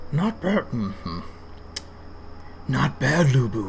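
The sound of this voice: Over clear background noise, a man uses a put-on character voice. He speaks at a medium pitch and a fairly slow pace.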